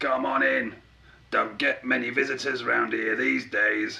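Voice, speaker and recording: A man does a put-on character voice. His pitch is medium and his pace moderate. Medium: read story. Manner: grumpy.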